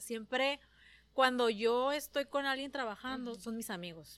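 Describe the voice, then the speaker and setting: The recording is very clean with a silent background as a woman talks. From San Luis Río Colorado, Sonora, Mexico. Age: 30s. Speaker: entrepreneur. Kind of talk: casual interview chat. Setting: on a ranch. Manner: talkative.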